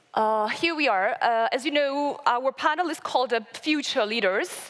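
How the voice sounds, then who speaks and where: Speaking with a Georgian accent, a woman keeps a moderate pace and ordinary pitch variation. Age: 20s. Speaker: local development association member. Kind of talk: conference presentation. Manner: halting, many fillers.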